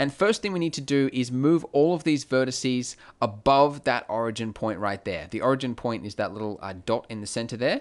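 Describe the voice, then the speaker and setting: In an Australian accent, a man talks at a fairly quick pace with hardly any pauses, medium pitch and ordinary pitch variation, against a quiet background. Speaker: 3D graphics tutorial creator. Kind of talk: tutorial. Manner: casual, many filler words.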